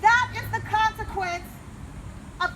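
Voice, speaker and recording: Using a raised, projected voice, a woman speaks at an extremely high pitch with fairly even intonation. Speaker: congressional candidate. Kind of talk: public speech. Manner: loud; impassioned.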